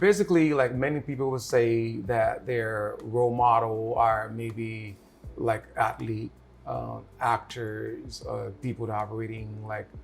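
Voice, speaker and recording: Somewhat breathy, a man speaks at medium pitch with fairly even intonation. His pace is fairly slow. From Liberia. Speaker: show host and executive producer. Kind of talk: interview.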